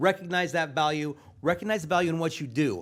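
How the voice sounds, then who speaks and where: Against a silent background in a very clean recording, a man speaks in an animated tone. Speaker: esports producer and broadcast teacher. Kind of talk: conference panel talk. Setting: stage with audience. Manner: loud.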